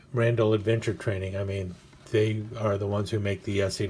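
Against light background noise, a man speaks at a fairly low pitch in a somewhat breathy voice with monotone, flat intonation. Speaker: knife hobbyist reviewer. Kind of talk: casual unboxing commentary.

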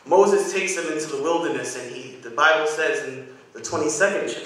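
Strong room echo surrounds a man speaking at a moderate pace. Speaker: guest preacher. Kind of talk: sermon. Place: church. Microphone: podium.

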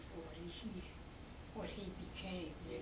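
Loud background noise fills the recording. A woman talks at a moderate pace. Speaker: interviewee. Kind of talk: interview answer. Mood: reflective, reminiscing. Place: home room. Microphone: camera far.

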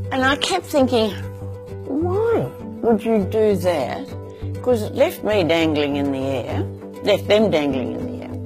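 A woman speaks at a fairly slow pace with clear music playing in the background. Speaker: farmer. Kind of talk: interview answer. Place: home room. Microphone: lapel.

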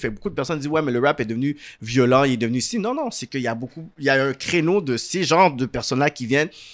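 Against a quiet background, a man with a medium pitch talks at a very fast pace with lively intonation. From Montreal area, Quebec; Quebec. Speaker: talk show host and producer; talk show host. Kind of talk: interview. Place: home room. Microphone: studio mic.

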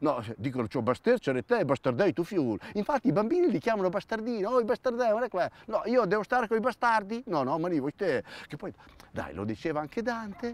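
At a fairly quick pace, the voice moves through very wide pitch swings in a dry sound with no echo. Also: man, high pitch for a man. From Romagna, Italy (Villanova di Bagnacavallo, Ravenna). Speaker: actor and comedian. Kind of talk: comic monologue. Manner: animated. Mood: ironic, humorous. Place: open country.

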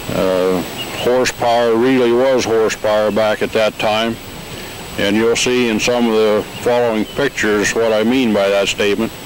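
A man's monotone, flat delivery at a fairly slow pace, with a dry sound, no echo and light background noise. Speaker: narrator of company documentary. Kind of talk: scripted documentary narration. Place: open country. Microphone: handheld.

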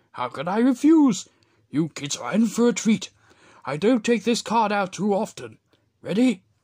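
A cartoonish character voice at a fairly high pitch moves at a moderate pace with long, frequent pauses. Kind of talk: cartoon character voice impressions. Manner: warm, proud.

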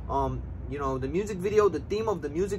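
A man rattles off his words at a very fast pace while noticeable background noise runs underneath. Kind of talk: casual vlog chat. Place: street. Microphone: camera far.

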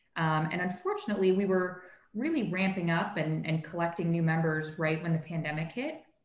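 With a Canadian accent, a woman speaks at a fairly quick pace in a fairly low pitch with fairly even intonation, amid audible room echo. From Canada, Toronto. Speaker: corporate lawyer, young professionals group leader. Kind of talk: interview conversation. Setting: video call. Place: home room. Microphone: video call.

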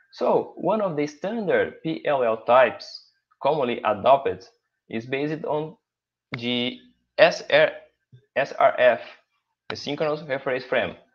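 Speech comes at a very slow pace with a Portuguese accent. Long, frequent pauses break it up. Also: man. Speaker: professor. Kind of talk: conference presentation.

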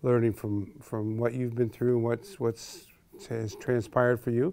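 In an American accent, the speaker uses a normal speaking voice at a moderate pace. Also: man. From Chicago. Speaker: interviewer host. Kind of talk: interview questions.

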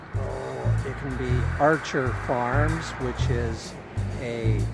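A man speaks with loud music in the background. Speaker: brand ambassador vlogger. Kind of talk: casual vlog chat. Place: street. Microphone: phone near.

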